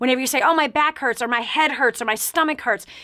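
Against a quiet background, a woman speaks in a high, raised, projected voice with a bright, sharp tone, an animated tone and ordinary pitch variation. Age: 40s. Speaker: talk show host and motivational speaker; talk show host, motivational speaker. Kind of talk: radio call-in talk show. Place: studio.

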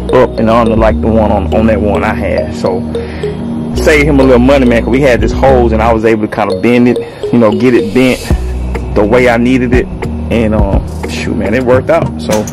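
Clear background music behind a man speaking at a moderate tempo. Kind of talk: tutorial. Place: street. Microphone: phone near.

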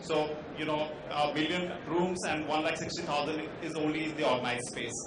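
A man talks with audible room echo and noticeable background noise around him. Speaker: panelist. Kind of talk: panel discussion talk. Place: hall.

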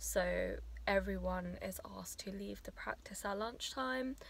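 The speech moves at a fairly slow pace with big swings in loudness. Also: woman, dry sound with no echo. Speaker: new dentist vlogger. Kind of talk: casual vlog chat. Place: car. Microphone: phone near.

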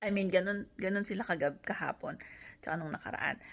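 In a plain, everyday voice, a woman talks at a fairly quick pace with ordinary pitch variation. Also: very clean recording, silent background. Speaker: nurse and family vlogger. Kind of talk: casual vlog talk.

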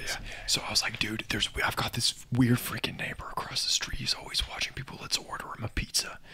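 The whispering moves along at a fairly quick pace. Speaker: lifelong friend of the host. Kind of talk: casual storytelling about personal experiences. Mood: amused, animated. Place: home room. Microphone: studio mic.

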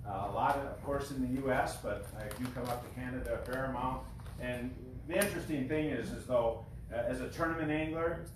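Speech at a fairly quick pace, with audible room echo and noticeable background noise. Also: man. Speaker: guest. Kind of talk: informal talk to an audience. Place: garage. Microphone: camera far.

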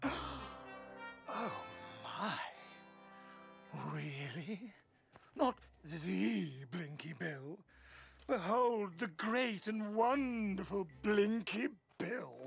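In a cartoonish character voice at a middle pitch with very wide pitch swings, the speaker goes at a very slow pace with long, frequent pauses while faint music plays in the background. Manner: mocking, menacing.

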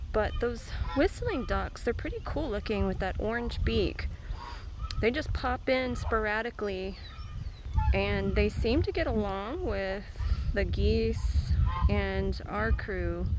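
Very slowly and with long, frequent pauses, a woman speaks in a dry sound with no echo amid noticeable background noise. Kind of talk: casual vlog chat. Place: farm. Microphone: phone near.

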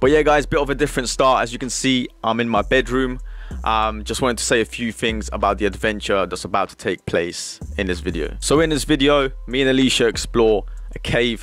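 The speech moves at a fairly quick pace, the sound is dry with no echo, and faint music plays in the background. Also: man. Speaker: exploration vlogger. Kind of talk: casual vlog intro. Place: home room. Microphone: studio mic.

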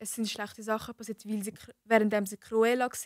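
A woman speaks at a fairly high pitch in a monotone, flat delivery. The background is quiet and the sound is dry with no echo. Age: young. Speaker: apprentice; podcast guest or co-host. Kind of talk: casual chat. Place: studio. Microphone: studio mic.

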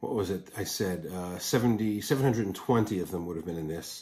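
Somewhat breathy, a man speaks at a fairly slow pace with lively intonation. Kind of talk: casual vlog chat. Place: home room. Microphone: phone near.

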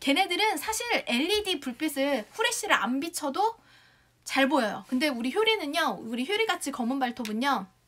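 Speaking at a moderate pace, a woman sounds animated, her high pitch moving in very wide swings. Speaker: shopping show host. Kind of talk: live sales pitch. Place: home room. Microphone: lapel.

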